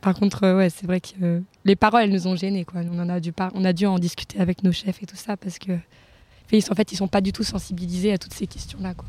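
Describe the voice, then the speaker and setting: A woman speaks very fast at a medium pitch, somewhat breathy, in a dark, mellow tone. Her intonation stays monotone and flat, and the sound is dry and close with no echo. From France. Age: 20s. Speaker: social worker, humanitarian volunteer. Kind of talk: casual interview. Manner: halting.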